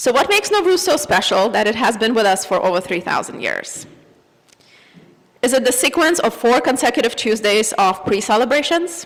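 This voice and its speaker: Against noticeable background noise, a woman speaks with a Russian accent at a fairly quick pace, her pitch high with very wide swings but her loudness very even. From Azerbaijan. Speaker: church member giving reflection. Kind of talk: personal reflection read at a service. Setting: church service.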